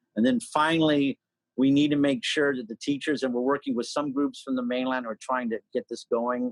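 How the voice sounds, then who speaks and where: The dry, close sound with no echo captures a man speaking with fairly even intonation. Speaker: political candidate and state legislator. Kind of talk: interview. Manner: loud.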